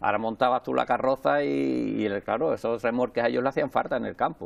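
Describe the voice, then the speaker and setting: Very rapid male speech full of lively intonation. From Andalusia, Alcalá de Guadaíra (Seville); Andalusia. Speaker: president of a local parade association; interview guest. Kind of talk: interview. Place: studio. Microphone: lapel.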